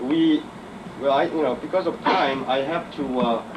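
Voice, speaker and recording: Spoken with a Korean accent at a fairly slow pace, the voice has lively intonation, with audible room echo and noticeable background noise. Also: man. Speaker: chemical engineer. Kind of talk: conference talk. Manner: halting, many fillers.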